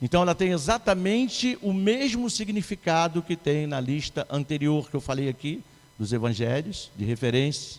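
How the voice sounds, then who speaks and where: A man's fairly high voice with very wide pitch swings, at a moderate pace. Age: 60s. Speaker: pastor. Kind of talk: sermon.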